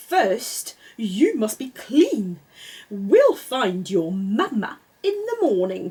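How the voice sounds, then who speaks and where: A woman's put-on character voice, fairly high in pitch and very slow in pace. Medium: read story. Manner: fussy, exclamatory.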